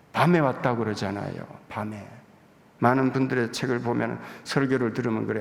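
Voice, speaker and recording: A man speaks at a fairly quick pace over noticeable background noise, with audible room echo. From Gyeongsang province, South Korea. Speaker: visiting pastor. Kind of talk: sermon. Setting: church pulpit.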